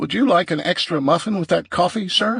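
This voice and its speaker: A man puts on a character voice, high in pitch and delivered at a fairly quick pace. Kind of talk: posh.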